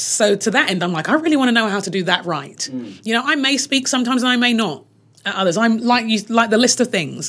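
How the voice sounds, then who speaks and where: Lively intonation and vocal fry in a female voice. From UK. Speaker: leadership trainer and author. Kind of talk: interview.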